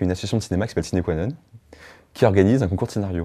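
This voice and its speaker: A man's very deep, low voice, dark and mellow in tone, with ordinary pitch variation. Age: 20s. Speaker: short film director. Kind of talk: interview. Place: home room.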